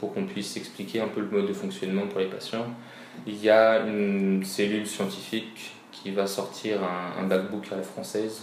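Through audible room echo and noticeable background noise, a man speaks at a fairly slow pace and fairly low pitch with fairly even intonation. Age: 20s. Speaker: physiotherapist. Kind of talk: interview.

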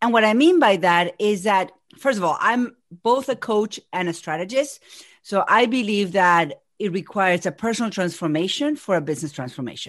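A woman with an Argentine accent, medium pitch and lively intonation, at a moderate pace against a quiet background. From Argentina. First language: Spanish. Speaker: business coach. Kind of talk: casual interview.

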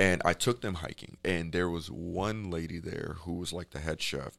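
Speaking at a moderate pace, this man has an American accent. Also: very clean recording, silent background. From Chicago. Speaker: podcast guest, hiking club founder. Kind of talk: casual interview.

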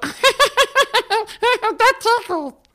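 Squeaky and extremely high, this put-on character voice has a playful tone. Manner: playful, ticklish.

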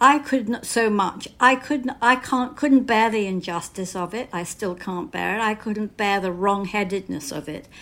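At a moderate pace with hardly any pauses, the voice shows big swings in loudness and ordinary pitch variation on a very clean recording with a silent background. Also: woman, fairly high pitch for a woman. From Britain. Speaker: novelist. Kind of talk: interview.

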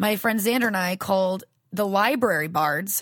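On a very clean recording with a silent background, a voice with an American accent shows ordinary pitch variation. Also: woman. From US South. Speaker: voice actress. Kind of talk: casual interview. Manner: animated.

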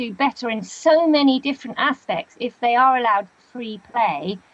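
Here a woman talks with a high pitch. Her pace is moderate. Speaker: author. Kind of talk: casual interview.

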